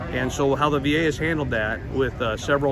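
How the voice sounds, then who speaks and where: Loud background noise accompanies a dry sound that has no echo. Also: man. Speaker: VA health system administrator and army veteran. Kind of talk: interview. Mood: earnest, measured. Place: street. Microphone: phone near.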